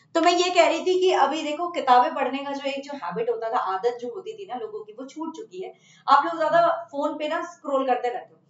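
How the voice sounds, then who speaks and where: This woman's high-pitched voice has lively intonation and hardly any pauses. Her loudness rises and falls in big swings. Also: moderate pace. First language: Bengali (speaking Hindi). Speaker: chemistry teacher. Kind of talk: online class talk to students. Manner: casual with fillers and hesitations.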